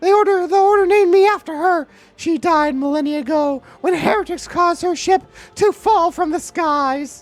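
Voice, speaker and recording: In a put-on character voice, a female-sounding speaker talks at a moderate pace with an extremely high pitch. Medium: virtual streamer. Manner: earnest, reverent.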